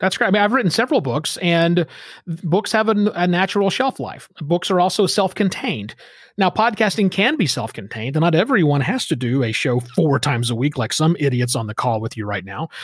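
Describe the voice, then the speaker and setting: Talking at a fairly quick pace in an American accent, a man with a high pitch moves through very wide pitch swings. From Oklahoma. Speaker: podcasting consultant and author. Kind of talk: casual interview. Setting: remote recording through a studio microphone.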